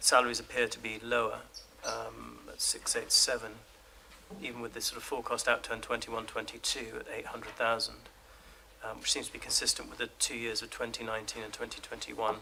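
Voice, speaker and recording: Quiet speech comes at a fairly quick pace. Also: man. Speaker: opposition member of parliament. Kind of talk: parliamentary committee questioning. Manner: quiet, hard to hear.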